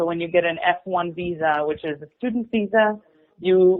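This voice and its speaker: With an Israeli accent, a woman speaks at a fairly quick pace in a fairly low pitch with ordinary pitch variation. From Israel, suburb of Tel Aviv. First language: Hebrew. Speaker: musical theater performer. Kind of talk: interview.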